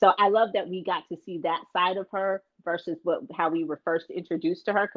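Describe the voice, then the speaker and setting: It is a plain, everyday voice, a woman's at medium pitch. She talks at a fairly quick pace with fairly even intonation. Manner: casual, conversational with fillers.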